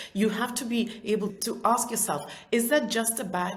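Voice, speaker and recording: The speaker has a non-native accent and a moderate pace. Audible room echo and noticeable background noise fill the recording. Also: woman. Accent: non-native, described as weird. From Soviet Union. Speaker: entrepreneur and author. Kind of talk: interview. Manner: talkative.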